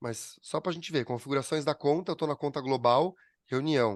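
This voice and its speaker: Recorded with a dry, close sound, no echo and a quiet background, a man speaks at a medium pitch with ordinary pitch variation. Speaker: business owner teaching a class. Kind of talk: online class with screen sharing. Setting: video call. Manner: fast.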